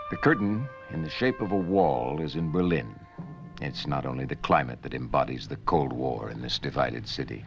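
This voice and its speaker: Over music in the background, a man with a very deep, low pitch speaks in a solemn tone at a moderate pace, with lively intonation. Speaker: documentary narrator. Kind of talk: documentary narration. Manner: solemn, authoritative, measured.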